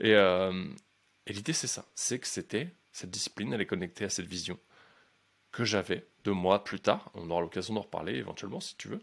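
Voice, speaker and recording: A man's fairly low voice at a fairly quick pace, with ordinary pitch variation, big swings in loudness and long, frequent pauses, on a very clean recording with a silent background. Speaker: life coach and podcaster. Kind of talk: podcast monologue. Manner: fast; energetic, casual.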